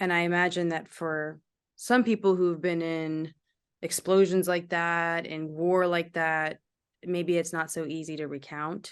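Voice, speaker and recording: A woman's fairly low, fairly slow voice, a plain, everyday voice. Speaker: TV host / anchor. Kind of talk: broadcast host and interviewer.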